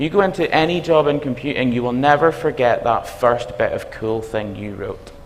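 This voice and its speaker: In a strong Belfast accent, a man with a fairly high pitch talks with lively intonation amid audible room echo. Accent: Belfast accent, self-described as strong. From Northern Ireland, Belfast. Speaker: university dean, computing academic. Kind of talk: conference talk. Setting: stage with audience. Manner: animated.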